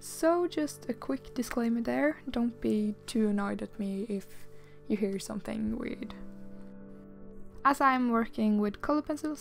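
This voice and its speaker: A woman's fairly high voice with lively intonation at a moderate pace, music in the background. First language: non-native English speaker. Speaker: illustrator. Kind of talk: art process voiceover.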